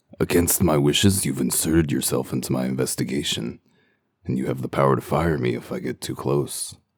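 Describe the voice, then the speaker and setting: A man puts on a character voice, very deep and low in pitch, at a fairly quick pace. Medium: dub.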